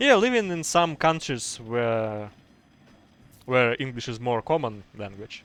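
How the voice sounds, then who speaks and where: A man with a Russian accent speaks at a fairly slow pace, his intonation lively and his loudness swinging widely. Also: medium pitch for a man. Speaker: game caster. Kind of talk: live commentary. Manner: halting.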